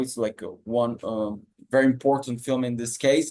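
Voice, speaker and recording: A medium-pitched man with a non-native accent, moderate pace, and monotone, flat intonation. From Brazil. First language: Portuguese. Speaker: PhD researcher, audience participant. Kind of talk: question-and-answer comment. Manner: halting.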